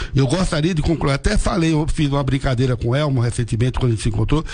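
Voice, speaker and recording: A fairly high-pitched man races through his words very fast, with noticeable background noise around him. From Irecê, Bahia, Brazil. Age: 70s. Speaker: association president. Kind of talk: radio interview. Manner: halting, repeats words.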